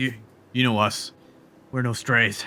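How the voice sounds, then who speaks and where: A raspy, put-on character voice delivers its lines in a monotone, flat intonation. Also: man. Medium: actual play.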